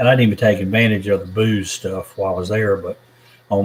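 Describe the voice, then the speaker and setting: Speaking at a fairly quick pace, a man with a Southern accent has a fairly low pitch. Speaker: YouTuber reading live chat. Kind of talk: live stream chat. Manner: casual, meandering.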